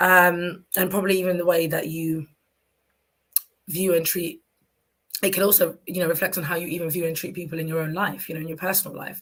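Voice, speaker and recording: With a London accent, a woman talks at a fairly quick pace in a fairly low pitch, her intonation monotone and flat, broken by long, frequent pauses. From London, England. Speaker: talk show host. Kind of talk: solo talk show monologue. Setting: live stream.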